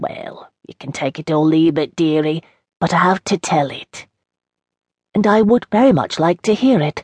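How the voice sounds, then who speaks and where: Recorded with a dry, close sound and no echo, a woman with a fairly low pitch speaks at a moderate pace with lively intonation and big swings in loudness, a plain, everyday voice. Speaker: audiobook narrator. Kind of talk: scripted narration. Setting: studio. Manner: rambling, reminiscing, warm and wry.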